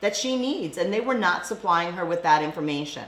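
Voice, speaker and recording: A woman speaks with lively intonation in a room with audible echo and noticeable background noise. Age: 60s. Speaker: school board candidate. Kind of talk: interview.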